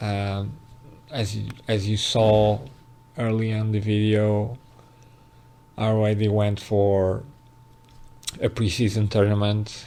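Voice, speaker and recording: In a non-native accent, the speaker goes very slowly. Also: man. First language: not English. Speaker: gaming YouTuber. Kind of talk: gameplay commentary. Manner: halting, with fillers.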